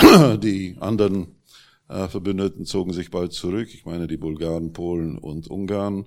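Speaking at a fairly slow pace, a man with a very deep, low pitch shows ordinary pitch variation and big swings in loudness. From Czechoslovakia (Prague). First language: Czech (speaking German). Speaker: journalist and publisher. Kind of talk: panel discussion. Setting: stage with audience.

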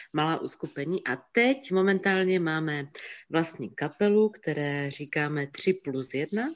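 A woman at a fairly slow pace with lively intonation. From Czech Silesia, Opava. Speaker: photography assistant and singer. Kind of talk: casual interview.

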